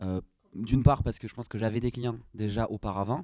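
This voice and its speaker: With a southwestern French accent, a man of medium pitch and a dark, mellow tone talks at a fairly quick pace with ordinary pitch variation. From southwestern France, Gers. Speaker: product designer. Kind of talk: interview. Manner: hesitant, many fillers.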